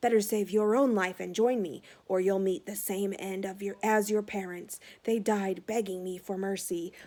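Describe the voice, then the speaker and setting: Putting on a growling character voice, a woman speaks at medium pitch and a moderate pace with fairly even intonation. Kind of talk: menacing, trying to persuade. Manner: snarling.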